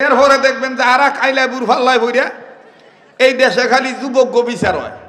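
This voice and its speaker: A man with a Bangladeshi accent uses a raised, projected voice at an extremely high pitch. His intonation is monotone and flat, with noticeable background noise. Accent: regional Bangladeshi dialect. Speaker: Islamic preacher. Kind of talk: humorous religious sermon. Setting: outdoor gathering.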